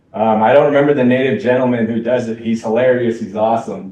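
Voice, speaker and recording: This man has an unremarkable speaking voice at a medium pitch, with ordinary pitch variation. He talks at a fairly quick pace. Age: 40s. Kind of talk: Q&A discussion. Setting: college event with live and online audience.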